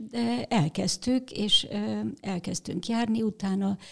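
A woman talks in a somewhat breathy voice. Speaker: cinema manager and film festival organizer. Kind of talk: casual interview.

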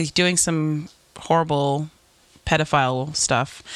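Speaking at a very slow pace, a woman uses a very deep, low pitch. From New York. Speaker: podcast host. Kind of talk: casual chat.

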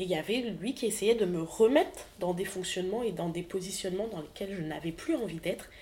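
A woman of medium pitch talks fairly quickly, her pitch varying in an ordinary way. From French Antilles. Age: 20s. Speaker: podcaster. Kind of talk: personal testimony monologue.

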